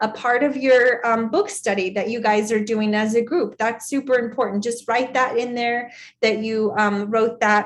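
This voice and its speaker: A woman with a fairly high pitch and an unremarkable speaking voice. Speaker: sales team trainer. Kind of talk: training session.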